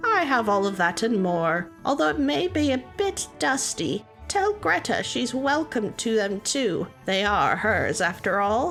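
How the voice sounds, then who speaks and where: A female-sounding put-on character voice sits at a fairly high pitch and moves at a fairly slow pace with hardly any pauses. Clear music plays in the background. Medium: read story.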